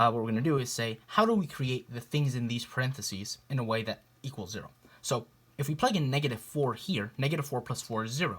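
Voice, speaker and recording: At a very fast pace, a man with a medium pitch talks with ordinary pitch variation. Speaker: math tutor. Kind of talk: tutorial. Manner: casual, with fillers.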